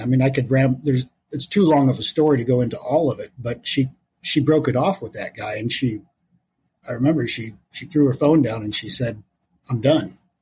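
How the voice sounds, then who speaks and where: At a moderate pace, a man with a dark, mellow tone talks somewhat breathily at a medium pitch, his pitch varying in an ordinary way. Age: 50s. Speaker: podcast guest sharing personal story. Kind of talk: casual interview, personal testimony.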